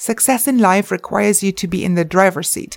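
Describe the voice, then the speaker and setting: A woman's ordinary speaking voice, medium in pitch with ordinary pitch variation, dry and close with no echo. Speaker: podcast host. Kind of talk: interview. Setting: studio.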